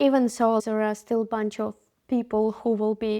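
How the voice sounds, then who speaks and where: Speaking with a Ukrainian accent at a moderate pace, a woman has a fairly high pitch, a dark, mellow tone and monotone, flat intonation, in a very clean recording with a silent background. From Ukraine. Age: 20s. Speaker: interviewee, startup worker. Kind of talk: interview.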